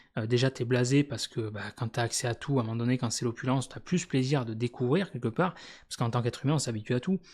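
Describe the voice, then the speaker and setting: At a very fast pace, a somewhat breathy man of medium pitch speaks with ordinary pitch variation in a very clean recording with a silent background. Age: 40s. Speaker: YouTuber. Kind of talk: casual monologue. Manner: hesitant, many fillers.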